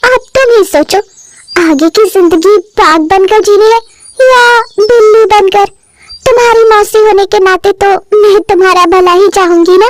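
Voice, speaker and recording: The speaker uses a cartoonish character voice at a moderate pace. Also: woman, extremely high pitch for a woman. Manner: confident, lively.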